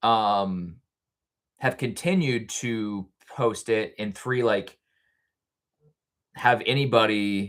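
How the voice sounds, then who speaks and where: Very slowly, a man speaks with a voice pitched in the medium range. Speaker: podcaster and livestreamer. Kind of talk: casual livestream chat. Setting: livestream on camera. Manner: halting, filler-heavy.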